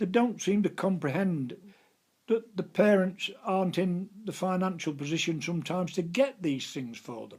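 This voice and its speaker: A man with a Lincolnshire accent talks at a high pitch with lively intonation. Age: 80s+. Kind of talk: interview answer. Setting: living room at home. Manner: conversational, reminiscing, hesitant.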